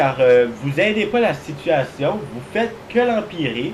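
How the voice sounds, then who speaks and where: A man's fairly high voice with very wide pitch swings at a very slow pace, over noticeable background noise. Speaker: gaming YouTuber. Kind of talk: gameplay commentary. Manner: halting.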